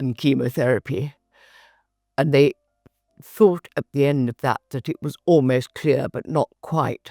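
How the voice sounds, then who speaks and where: The recording is dry and close with no echo, as a woman with a very deep, low pitch speaks with fairly even intonation. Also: very clean recording, silent background. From England. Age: 80s+. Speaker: cancer patient. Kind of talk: testimony.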